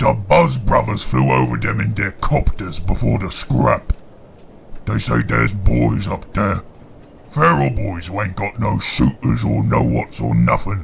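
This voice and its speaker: Over clear background noise, a put-on character voice bellows in a raspy, gruff tone at a moderate pace. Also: man, very deep, low pitch for a man. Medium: read story. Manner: gruff, bellowing.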